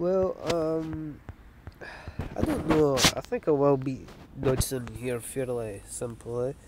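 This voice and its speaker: Over loud background noise, a man speaks with ordinary pitch variation in a dry sound with no echo. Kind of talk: casual gameplay commentary. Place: street.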